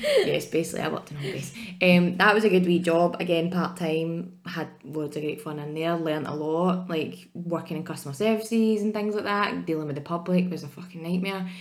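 A woman with a Scottish accent talks at a fairly quick pace and a fairly low pitch, with hardly any pauses. Her intonation is fairly even, her loudness swings widely, and the room echo is audible. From Scotland, Ayrshire. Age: 30s. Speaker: podcast co-host. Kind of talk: casual chat.

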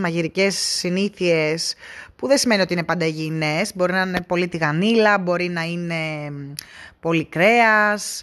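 In a very clean recording with a silent background, a woman speaks at a moderate pace with fairly even intonation. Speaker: travel podcaster. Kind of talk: casual solo monologue. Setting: in a car.

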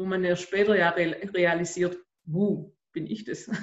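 Flat, monotone intonation in a Swabian accent. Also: woman. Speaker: podcast host and life coach. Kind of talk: interview.

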